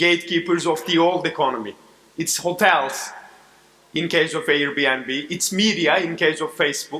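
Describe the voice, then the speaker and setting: A man's fairly high, bright, sharp voice at a moderate pace, with fairly even intonation and audible room echo. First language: Turkish. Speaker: corporate advisor. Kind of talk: keynote speech. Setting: stage with audience.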